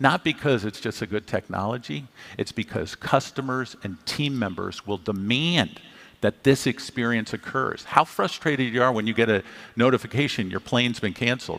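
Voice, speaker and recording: Here a man talks at a moderate pace with lively intonation. His pitch is medium. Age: 60s. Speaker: tech company CEO. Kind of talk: fireside chat on stage. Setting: stage with audience. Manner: animated.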